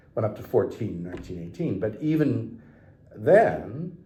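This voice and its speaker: Somewhat breathy and dark, mellow in tone, a man talks at a moderate pace in a fairly low pitch with lively intonation. Audible room echo surrounds his voice. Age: 60s. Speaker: historian, professor. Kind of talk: interview conversation. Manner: hesitant, many fillers.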